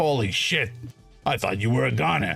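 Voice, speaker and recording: A man speaks in a put-on character voice with very wide pitch swings. He talks at a moderate pace over faint background music. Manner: laughing.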